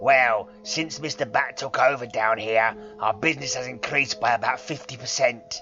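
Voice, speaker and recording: Clear music plays in the background as a man uses a put-on character voice at a medium pitch and a moderate pace. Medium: read story.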